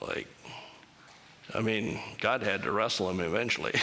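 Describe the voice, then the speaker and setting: Heard through noticeable background noise and audible room echo, a man speaks at a moderate pace. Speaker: church speaker. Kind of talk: church talk with Q&A. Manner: casual, conversational.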